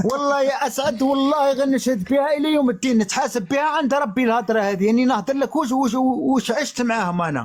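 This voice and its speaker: Speaking at a moderate pace with hardly any pauses, a man holds a very even loudness at an extremely high pitch with ordinary pitch variation. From Algeria. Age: 40s. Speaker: live stream guest. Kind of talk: testimony. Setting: online live stream. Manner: emphatic.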